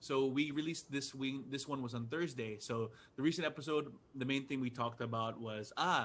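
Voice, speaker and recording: At a fairly quick pace, an unremarkable speaking voice talks with fairly even intonation. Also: man, medium pitch for a man. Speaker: podcaster and comedian. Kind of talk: casual interview.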